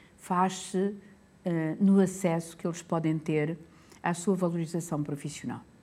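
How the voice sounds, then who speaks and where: A woman's dark, mellow, somewhat breathy voice in a European Portuguese accent, monotone and flat, fairly slow with long, frequent pauses, in a very clean recording with a silent background. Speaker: public health professor. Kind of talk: interview. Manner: hesitant.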